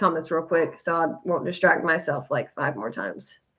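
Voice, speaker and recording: A woman's bright, sharp tone edged with vocal fry. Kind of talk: live video chat. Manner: loud; varied pitch.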